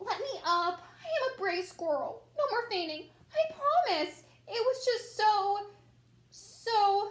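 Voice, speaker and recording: The pitch sits extremely high in this put-on character voice. Its delivery keeps a fairly slow pace. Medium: read story. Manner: nervous.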